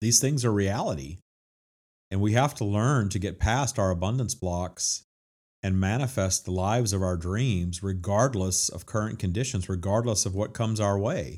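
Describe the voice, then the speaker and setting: In a very clean recording with a silent background, a man with an American accent talks at a moderate pace, his pitch varying in an ordinary way. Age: 50s. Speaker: spiritual self-help author and podcast host. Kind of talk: monologue on spiritual teachings.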